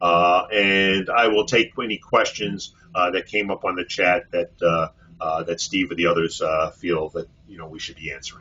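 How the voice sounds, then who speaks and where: A man with a New York accent speaks at a moderate pace, his loudness swinging widely. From Brooklyn, New York City. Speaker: physician and hospital executive. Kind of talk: webinar presentation. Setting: online webinar. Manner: many fillers, uh.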